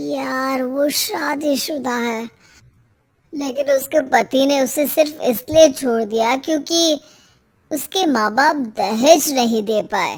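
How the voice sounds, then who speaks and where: In a cartoonish character voice, the speaker moves at a very slow pace with ordinary pitch variation. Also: woman, high pitch for a woman. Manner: earnest, hesitant.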